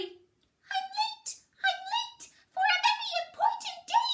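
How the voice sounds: Put-on character voice at an extremely high pitch and a fairly slow pace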